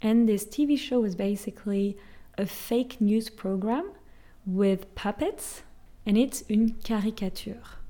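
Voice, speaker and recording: A woman with a fairly high pitch and a dark, mellow tone speaks at a very slow pace, with fairly even intonation and long, frequent pauses. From France. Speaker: French language teacher podcaster. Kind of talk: language lesson. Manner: switches between French and English explanations.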